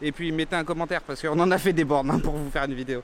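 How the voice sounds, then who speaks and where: The intonation stays fairly even. Noticeable background noise runs behind the voice. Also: man. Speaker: travel vlogger. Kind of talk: casual vlog narration on location. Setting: inside a cave, outdoors. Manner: loud.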